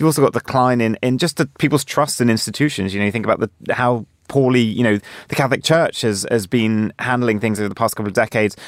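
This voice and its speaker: A very fast-talking man at medium pitch with ordinary pitch variation, in a very clean recording with a silent background and a dry, close sound with no echo. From Jersey, Channel Islands. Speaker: news correspondent. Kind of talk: panel discussion.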